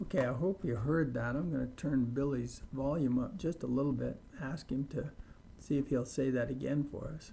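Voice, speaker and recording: A man with an American accent speaks in an ordinary speaking voice at a medium pitch and a moderate pace, with ordinary pitch variation. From US, Idaho. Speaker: English teacher. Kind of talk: tutorial.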